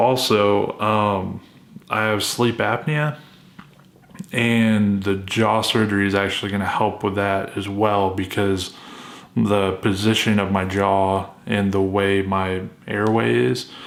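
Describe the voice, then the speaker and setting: In a recording with audible room echo and noticeable background noise, a man with a fairly low pitch speaks very slowly at a very even loudness, with ordinary pitch variation. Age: 30s. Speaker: vlogger documenting jaw surgery. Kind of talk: casual vlog. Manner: halting, many fillers.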